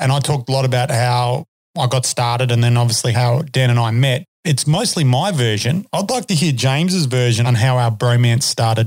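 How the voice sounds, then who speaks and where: A man talks fairly quickly with hardly any pauses, at medium pitch with ordinary pitch variation. His voice is somewhat breathy, and his loudness stays very even. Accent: Australian. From Australia. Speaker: podcast host and horseman. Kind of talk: casual chat. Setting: studio.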